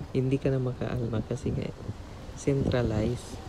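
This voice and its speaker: A man speaks at a moderate pace and a medium pitch, his intonation monotone and flat. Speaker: vlogger, overseas worker. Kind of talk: vlog voice-over narration. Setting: cold air-conditioned room. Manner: halting, stumbling over words.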